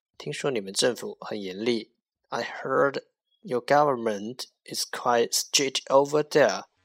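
On a very clean recording with a silent background, a man with a Chinese accent speaks fairly slowly at a medium pitch, with lively intonation and big swings in loudness. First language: Mandarin Chinese. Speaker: English teacher podcaster. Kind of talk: language lesson. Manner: slow, repetitive drilling.

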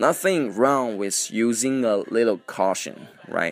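Music plays in the background as a man talks. He speaks at medium pitch and a moderate pace. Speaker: radio-style podcast host teaching English. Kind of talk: casual English-teaching monologue, mixing Chinese and English. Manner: hesitant, many fillers.

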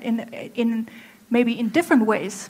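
With a German accent, a woman speaks at a fairly high pitch. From Germany. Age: 30s. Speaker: apparel designer. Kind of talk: talk to a live audience. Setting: stage with audience. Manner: halting.

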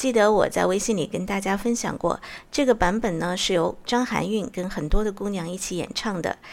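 At a moderate pace, a woman speaks at medium pitch with ordinary pitch variation, an ordinary speaking voice. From Sichuan, Zigong. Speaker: radio host. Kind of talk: radio song-request show.

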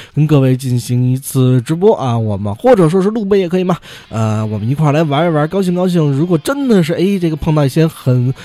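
At a very fast pace, a man speaks with a fairly high pitch and lively intonation. Noticeable background noise sits behind him. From Beijing. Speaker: podcast host. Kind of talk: casual news commentary monologue. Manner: frequent fillers and hesitations.

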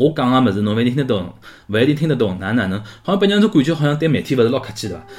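Speaking at a very fast pace, a man uses a medium pitch. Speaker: podcast host. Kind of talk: casual monologue livestream chat. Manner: animated; halting.

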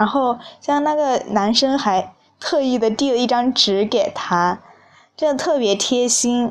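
A woman's high voice at a fairly slow pace, very even in loudness, against a quiet background. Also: ordinary pitch variation. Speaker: podcast host. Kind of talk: casual solo travel talk.

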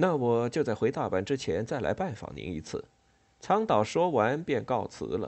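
The intonation here is lively. A passage is read aloud in a natural voice.

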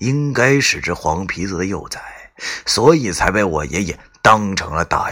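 Lively intonation over plain reading aloud

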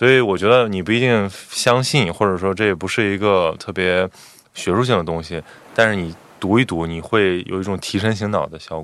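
In an ordinary speaking voice, a man with fairly low pitch talks at a moderate pace with ordinary pitch variation. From Qingdao, Shandong, China. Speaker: podcast host, former journalist. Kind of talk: casual chat.

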